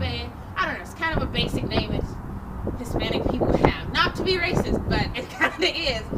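A woman speaks at a fairly quick pace. Loud background noise runs behind her. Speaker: film critic and radio host. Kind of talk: casual movie review. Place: street. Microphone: camera far.

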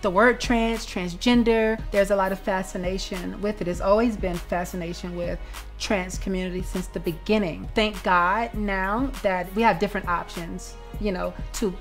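Over faint music in the background, a woman speaks at a moderate pace. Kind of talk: interview answer. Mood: earnest, reflective. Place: home room.

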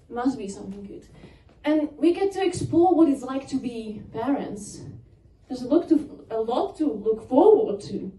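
Very wide pitch swings at a moderate pace, with audible room echo. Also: woman. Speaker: stand-up comedian. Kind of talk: stand-up comedy set. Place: stage.

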